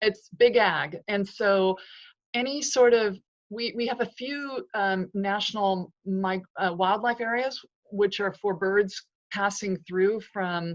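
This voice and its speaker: This woman has a Californian accent, a medium pitch and fairly even intonation. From US West, California Central Valley. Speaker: author. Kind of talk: interview.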